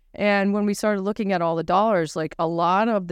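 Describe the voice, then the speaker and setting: Speaking in a New England accent, a woman keeps a moderate pace with ordinary pitch variation. The sound is dry and close with no echo, against a quiet background. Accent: New England American. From New Hampshire, US. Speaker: lecturer and social enterprise activist. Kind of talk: live panel interview. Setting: stage with audience.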